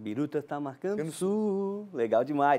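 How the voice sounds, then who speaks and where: On a very clean recording with a silent background, the voice has a dark, mellow tone and ordinary pitch variation. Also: man. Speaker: TV host. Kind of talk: TV talk show interview.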